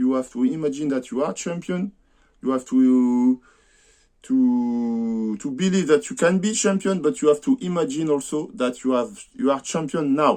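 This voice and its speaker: With a French accent, a man speaks in a dark, mellow tone at a fairly high pitch, swinging very widely in pitch. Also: moderate pace, quiet background. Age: 50s. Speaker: amateur boxer and vlogger. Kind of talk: personal vlog monologue. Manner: halting, many hesitations.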